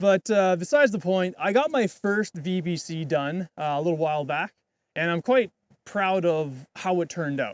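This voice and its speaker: The recording is dry and close with no echo, capturing a man with a high-pitched voice. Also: lively intonation, moderate pace. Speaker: vlogger, videographer. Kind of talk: casual vlog. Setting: outdoors on a mountain.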